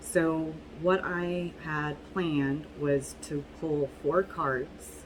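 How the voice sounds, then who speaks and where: Amid noticeable background noise, a woman keeps her intonation fairly even. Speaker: tarot reader. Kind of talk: tarot reading video. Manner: casual, halting with fillers.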